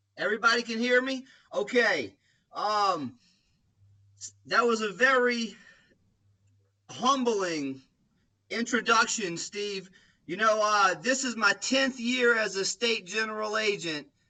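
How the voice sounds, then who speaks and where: A raised, projected voice with a bright, sharp tone, a very slow pace, long, frequent pauses and ordinary pitch variation. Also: man, high pitch for a man. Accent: American. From Louisiana, US. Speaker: insurance sales agency leader. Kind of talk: training presentation.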